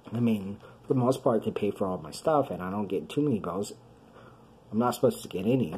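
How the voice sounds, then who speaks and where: Lively intonation and an American accent carry the very fast speech, which is broken by long, frequent pauses. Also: man, medium pitch for a man. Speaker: video blogger with chronic illness. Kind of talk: personal video diary. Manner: halting.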